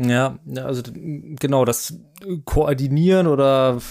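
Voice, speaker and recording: A man is talking. His voice sits at a medium pitch. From Baden, southwest Germany. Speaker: marketing manager. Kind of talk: casual chat.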